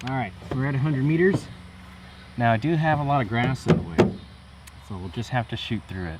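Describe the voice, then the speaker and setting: A relaxed, somewhat breathy voice moves at a fairly quick pace with lively intonation. Loudness swings widely, broken by long, frequent pauses. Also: man, medium pitch for a man. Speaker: gaming youtuber. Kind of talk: gameplay commentary.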